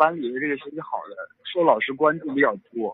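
This voice belongs to a man. It is pitched fairly high. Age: 20s. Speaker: caller to advice show. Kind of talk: phone-in advice call.

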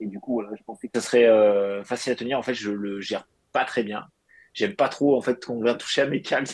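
With a normal speaking voice and medium pitch, a man speaks at a fairly quick pace with fairly even intonation. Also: big swings in loudness. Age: 30s. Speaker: fitness coach. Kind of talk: casual chat.

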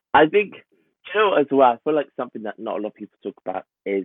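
A man speaks with a London accent. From North London. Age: 20s. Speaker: town planner. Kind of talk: casual chat.

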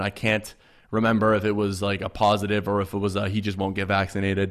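Speaking at a very fast pace, a man with a fairly low pitch comes through on a very clean recording with a silent background. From Canada. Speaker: sports podcast host. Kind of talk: casual chat.

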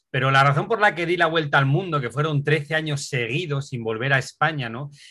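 A man speaks at a fairly quick pace with a fairly high pitch. His tone is bright and sharp. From Asturias, Spain. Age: 50s. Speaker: adventure cyclist and author. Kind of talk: interview.

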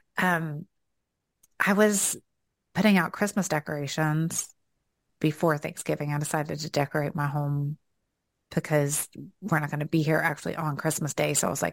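A woman with a Southern US accent and a very deep, low pitch speaks at a fairly quick pace with long, frequent pauses, in a very clean recording with a silent background and a dry, close sound with no echo. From US South. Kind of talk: casual conversational faith podcast. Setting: home office.

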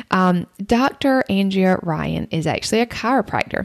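A woman of medium pitch speaks with a Southern US accent. The sound is dry and close, with no echo. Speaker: podcast host. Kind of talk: casual interview chat.

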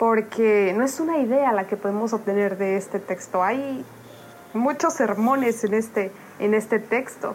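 The woman talks fairly slowly. Her pitch moves in an ordinary way. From Oaxaca, Mexico. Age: 20s. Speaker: devotional writer. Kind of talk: devotional reflection.

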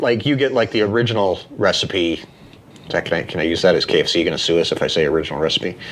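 Over noticeable background noise, a man with an American accent and a fairly low pitch talks at a fairly quick pace with ordinary pitch variation. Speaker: podcast host. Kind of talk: casual chat.

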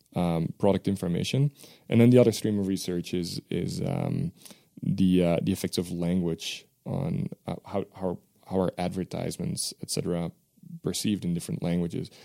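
Spoken with a Dutch accent in a dark, mellow tone at a moderate pace with ordinary pitch variation, the clip has a dry, close sound with no echo and a very clean recording with a silent background. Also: man. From Belgium. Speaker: professor. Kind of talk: interview.

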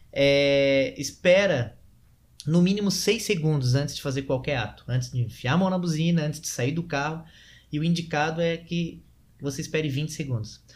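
A somewhat breathy man speaks at a fairly high pitch. His pace is moderate, with ordinary pitch variation. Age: 30s. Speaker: sales and persuasion trainer. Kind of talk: casual interview.

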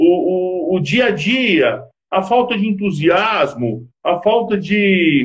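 A man talks at a very slow pace with a high pitch and lively intonation. His loudness stays very even, and the room echo is audible. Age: 50s. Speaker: business consultant and marriage counselor. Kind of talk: interview on a live stream.

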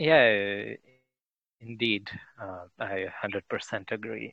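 Fairly low in pitch with vocal fry, a man speaks with fairly even intonation. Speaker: commentator on Indian affairs. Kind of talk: casual chat.

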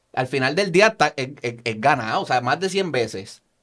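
The speaker has a Puerto Rican accent. The intonation is lively. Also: man. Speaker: podcast host. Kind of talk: casual interview.

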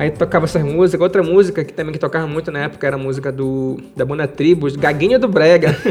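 Music plays behind a man with a fairly high pitch and ordinary pitch variation. He talks at a very fast pace with hardly any pauses. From Pará, Brazil (Marajó island, rural Moaná). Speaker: self-taught musician and music producer. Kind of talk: interview storytelling. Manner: halting, repeats words.

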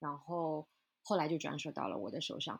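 A woman speaks at a very deep, low pitch and a moderate pace. Her intonation is fairly even in a very clean recording with a silent background. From China. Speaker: flower shop owner. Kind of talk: interview conversation.

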